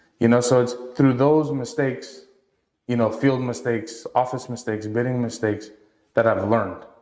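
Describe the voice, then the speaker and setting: Audible room echo surrounds a man speaking at a medium pitch. He keeps a moderate pace. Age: 20s. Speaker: entrepreneur. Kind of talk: casual chat. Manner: animated.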